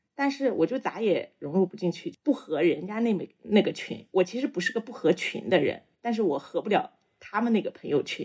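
Speaking at a fairly quick pace with a Shanxi accent, a woman's fairly high, somewhat breathy voice swings very widely in pitch. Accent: Shanxi-accented Mandarin. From Shanxi, China. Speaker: podcast co-host. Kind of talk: casual chat.

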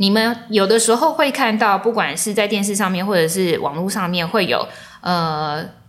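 Using lively intonation, a woman with a medium pitch speaks at a moderate pace. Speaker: journalist and event emcee. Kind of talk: casual interview.

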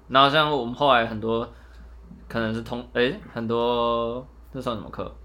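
A man of medium pitch speaks at a moderate pace in a monotone, flat intonation. His loudness swings widely, and audible room echo surrounds him. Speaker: student podcast host. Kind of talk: casual chat.

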